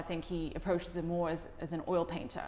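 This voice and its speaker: A woman speaks at a fairly low pitch. Her intonation stays monotone and flat. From Hong Kong, then schooled in UK. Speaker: documentary director, art professional. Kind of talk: interview. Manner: hesitant, many fillers and repeats.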